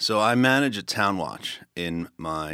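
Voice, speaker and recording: A man's bright, sharp tone in a Philadelphia accent, on a very clean recording with a silent background. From Northeast Philadelphia. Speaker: political candidate. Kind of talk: interview.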